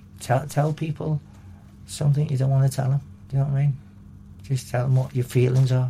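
In a Liverpool accent, a man talks very fast yet with long, frequent pauses, his somewhat breathy voice dark and mellow in tone, flat and monotone, at a very even loudness. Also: medium pitch for a man. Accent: Liverpool (Scouse). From Liverpool, England. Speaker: recovering addict and kambo practitioner. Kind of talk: personal testimony. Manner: halting.

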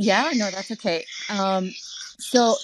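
A woman speaks in a normal speaking voice at medium pitch, with ordinary pitch variation. The sound is dry and close with no echo, over a quiet background. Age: 40s. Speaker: audience member on live stream. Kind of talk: casual chat.

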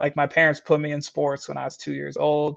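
Against a quiet background, a man with an American accent speaks at a fairly high pitch. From Michigan. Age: 20s. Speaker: CrossFit athlete. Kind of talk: casual interview.

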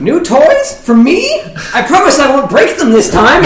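A put-on character voice with a slight echo and clear background noise. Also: moderate pace. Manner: giddy.

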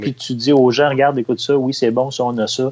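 With a dry, close sound and no echo, a man talks at a fairly quick pace in an unremarkable speaking voice of medium pitch. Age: 50s. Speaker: music publicist. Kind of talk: interview.

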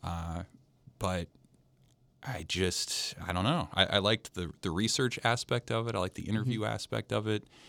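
Speaking in an American accent at a moderate pace, a man with a fairly low pitch has a bright, sharp tone and vocal fry, with ordinary pitch variation, on a very clean recording with a silent background. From Nebraska, US Midwest. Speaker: sports writer. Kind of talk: casual interview.

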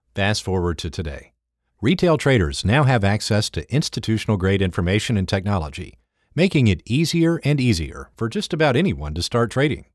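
On a very clean recording with a silent background, a man with a fairly low-pitched voice talks at a fairly quick pace through very wide pitch swings. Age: 50s. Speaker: trader and trading educator. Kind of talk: scripted narration.

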